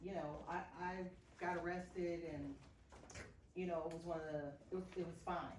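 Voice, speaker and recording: Delivered at a moderate pace with monotone, flat intonation, the speech has long, frequent pauses and audible room echo. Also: woman, fairly low pitch for a woman. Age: 60s. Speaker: activist. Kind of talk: group discussion.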